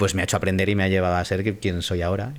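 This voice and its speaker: A man's fairly low voice in a flat monotone. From Spain, Madrid. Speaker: voice actor and former radio DJ. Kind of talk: interview. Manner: casual.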